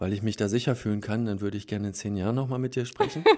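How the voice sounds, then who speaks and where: Fairly even intonation marks a normal speaking voice, captured in a very clean recording with a silent background. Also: man. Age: 40s. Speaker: polyamory meetup organizer. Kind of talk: interview. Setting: studio.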